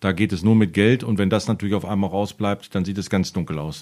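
In a very clean recording with a silent background, a man with a fairly low pitch speaks in an ordinary speaking voice with fairly even intonation. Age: 40s. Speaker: football referee and official. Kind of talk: casual chat.

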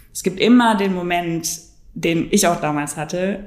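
A woman's fairly low voice at a fairly quick pace, with audible room echo. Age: 20s. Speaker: startup founder. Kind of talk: interview.

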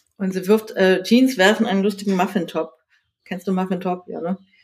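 At a moderate pace, a woman speaks at medium pitch in a normal speaking voice. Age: 40s. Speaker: magazine editor and author. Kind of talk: casual interview.

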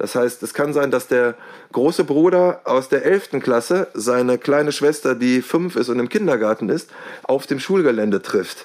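This man has an unremarkable speaking voice at medium pitch. He talks at a moderate pace with lively intonation. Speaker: deputy head teacher. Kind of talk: interview.

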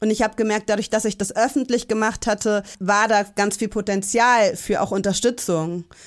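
With an unremarkable speaking voice, a woman talks fairly quickly at a fairly high pitch, her intonation fairly even. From Hamburg. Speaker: parent and community organizer. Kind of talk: interview. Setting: remote recording.

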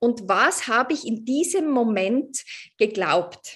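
The pitch sits high. The speaker is a woman. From Austria, Tyrol. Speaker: coach. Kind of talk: interview.

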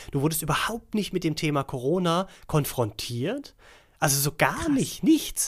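An unremarkable speaking voice moves at a moderate pace with lively intonation. The recording is very clean, with a silent background. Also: man, fairly high pitch for a man. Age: 40s. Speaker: podcast co-host. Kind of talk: casual chat.

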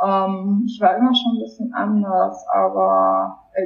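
A woman talking at a fairly slow pace. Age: 20s. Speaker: person with lived experience of borderline. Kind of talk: personal testimony interview.

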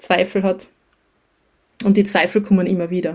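This woman keeps a moderate pace at a medium pitch. Her intonation stays monotone and flat. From Austria, Styria (near Graz). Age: 30s. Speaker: teacher and creative small-business owner. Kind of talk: casual interview.

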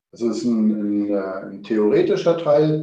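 Very slow speech from a man at medium pitch, with audible room echo. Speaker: chef. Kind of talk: interview. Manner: hesitant, many filler words.

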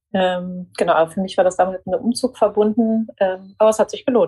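A woman at medium pitch rushes along at a very fast pace with hardly any pauses, her dark, mellow, somewhat breathy tone showing ordinary pitch variation and big swings in loudness, all in a dry, close sound with no echo. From Germany, near Frankfurt. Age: 40s. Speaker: media executive and former journalist. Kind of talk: interview. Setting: home office.

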